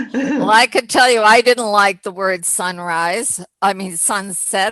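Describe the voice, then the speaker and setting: Speaking very slowly, a woman uses a medium pitch with ordinary variation and a bright, sharp tone, recorded with a dry, close sound with no echo. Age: 80s+. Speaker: nonprofit program host. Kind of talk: casual discussion on video call. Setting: video call. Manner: halting, many fillers.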